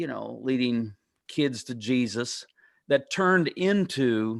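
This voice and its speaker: Very clean recording with a silent background, a man at medium pitch with ordinary pitch variation. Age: 60s. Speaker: pastor and author. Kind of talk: interview.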